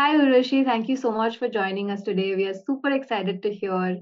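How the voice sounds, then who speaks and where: A woman with ordinary pitch variation speaks in an unremarkable speaking voice. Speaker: podcast host. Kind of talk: interview conversation; scripted introduction.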